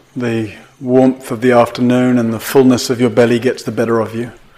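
Over noticeable background noise, a man speaks in a calm tone with monotone, flat intonation. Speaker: meditation teacher. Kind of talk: guided meditation. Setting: meditation retreat hall with audience. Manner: slow, calm, soft-spoken, with long pauses.

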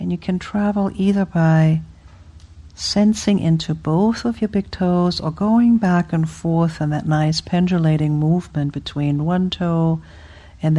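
Somewhat breathy and fairly low, a woman's voice carries a dark, mellow, soothing, gentle tone with ordinary pitch variation. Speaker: meditation teacher. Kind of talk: guided meditation. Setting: retreat hall with group. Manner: slow, soothing, gentle; playful, warm.

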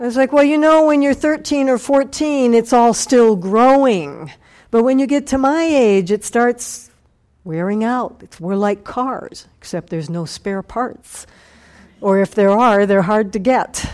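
Here is a woman with a normal speaking voice and a fairly high pitch. She talks at a fairly slow pace with lively intonation. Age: 60s. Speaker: meditation teacher. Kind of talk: dharma talk.

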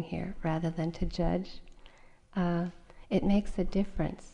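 The voice has a gentle, warm tone that is also dark and mellow. It moves at a fairly slow pace. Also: woman. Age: 40s. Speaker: meditation teacher. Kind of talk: dharma talk at a meditation retreat, reflective personal teaching with anecdotes. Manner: gentle, conversational, unhurried with frequent uh and um fillers; warm, candid storytelling tone.

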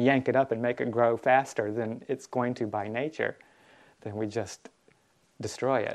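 A man speaks at a moderate pace in a plain, everyday voice, medium in pitch, with fairly even intonation. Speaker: Buddhist monk teacher. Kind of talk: dharma talk. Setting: retreat hall with audience. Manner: gentle, calm.

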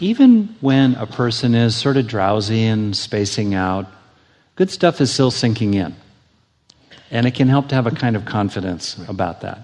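A soft-spoken man with a medium-pitched voice talks with lively intonation. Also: moderate pace. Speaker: meditation teacher. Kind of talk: workshop lecture. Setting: live workshop with audience. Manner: mellow, soft.

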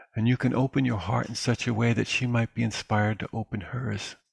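In a normal speaking voice, a man talks at a moderate pace and medium pitch with fairly even intonation, the sound dry and close with no echo over a quiet background. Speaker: meditation teacher. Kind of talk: dharma talk and Q&A. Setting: live webinar.

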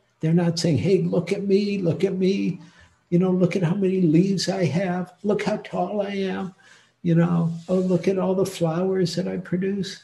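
A voice with an American accent speaks in a monotone, flat intonation. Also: man, high pitch for a man, moderate pace. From US Midwest, Detroit. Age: 70s. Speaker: meditation teacher. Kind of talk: dharma talk. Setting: online retreat talk.

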